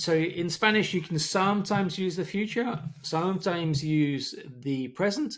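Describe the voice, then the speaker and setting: This man has a high pitch with ordinary variation. He talks at a moderate pace. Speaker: English teacher. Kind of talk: tutorial.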